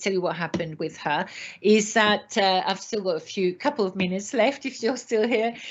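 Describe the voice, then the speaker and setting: With a French accent, a woman speaks at a medium pitch and a fairly quick pace, her intonation lively. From France. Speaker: retail trainer. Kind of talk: webinar presentation. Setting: online webinar. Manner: animated.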